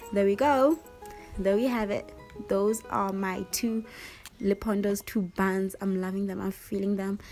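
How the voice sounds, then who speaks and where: The speech has long, frequent pauses, with music in the background. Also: woman, medium pitch for a woman, ordinary pitch variation, fairly slow pace. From South Africa. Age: 20s. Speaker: university student and model. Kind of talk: casual hair tutorial talk to camera.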